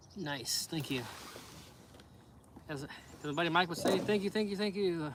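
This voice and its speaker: A man speaks at a high pitch and a moderate speed, his pitch varying in an ordinary way, with noticeable background noise behind him. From USA. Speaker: fishing livestreamer. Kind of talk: casual chat.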